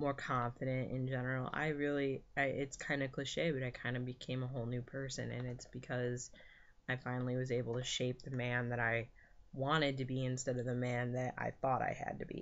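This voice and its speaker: In an American accent, a man talks at a fairly quick pace and medium pitch with monotone, flat intonation. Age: 20s. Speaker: vlogger. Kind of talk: casual vlog update. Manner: hesitant, many fillers.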